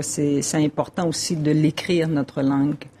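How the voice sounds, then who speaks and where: A woman speaks in a Quebec accent with a very deep, low pitch. Noticeable background noise runs under her voice. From Quebec, Innu reserve. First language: Innu-aimun (speaking French). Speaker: poet. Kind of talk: interview. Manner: halting.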